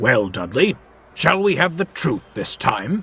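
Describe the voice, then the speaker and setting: A man does a put-on character voice, growling at a medium pitch. He goes at a fairly slow pace with very wide pitch swings. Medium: machinima. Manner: authoritative, measured.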